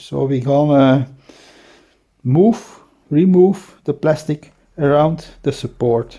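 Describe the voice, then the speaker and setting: A man with a non-native accent, fairly high in pitch, lively in intonation, with a dark, mellow tone. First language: Dutch. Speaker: DIY hobbyist shooter. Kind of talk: tutorial. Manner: halting, with many fillers.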